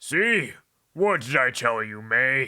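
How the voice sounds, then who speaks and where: A man's put-on character voice at medium pitch, with lively intonation, in a very clean recording with a silent background. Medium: read story.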